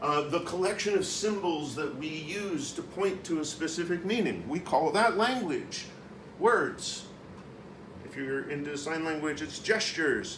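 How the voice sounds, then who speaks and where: Loud and high-pitched for a man, he speaks with ordinary pitch variation amid noticeable background noise and audible room echo. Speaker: conference speaker. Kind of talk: conference presentation. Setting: conference room with audience.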